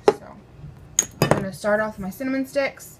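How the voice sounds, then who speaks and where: Noticeable background noise sits behind a woman with an American accent who speaks at a medium pitch with fairly even intonation. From mixed US, partly North Carolina in childhood. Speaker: home cooking vlogger. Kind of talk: casual cooking tutorial. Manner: chatty, informal, with fillers.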